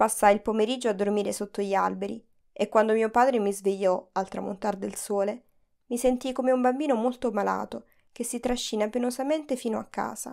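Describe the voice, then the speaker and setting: At a fairly quick pace, a woman with a plain, everyday voice speaks fairly high with fairly even intonation on a very clean recording with a silent background. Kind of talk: literary audiobook reading, first-person memoir narration. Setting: studio recording.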